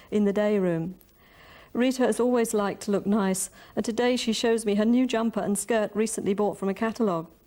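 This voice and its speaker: Fairly quickly and with fairly even intonation, a woman with a London accent speaks in a fairly high voice with a dark, mellow tone, on a very clean recording with a silent background. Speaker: poet and prose writer; social worker. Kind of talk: prose reading of a monologue.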